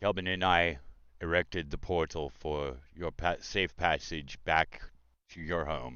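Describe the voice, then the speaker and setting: Putting on a character voice, a man speaks at a fairly slow pace in a very deep, low pitch with fairly even intonation. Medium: actual play. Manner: formal, gracious.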